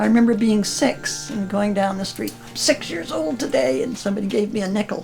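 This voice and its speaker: A woman's medium-pitched voice with lively intonation at a fairly quick pace, against noticeable background noise. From Canada. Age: 80s+. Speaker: senior interviewee. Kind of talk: casual reminiscence.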